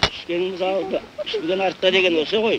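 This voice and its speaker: Amid noticeable background noise, a man with a high pitch speaks at a moderate pace. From Xinjiang, China. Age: 60s. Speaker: herder and commune party cadre. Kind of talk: family address to camera.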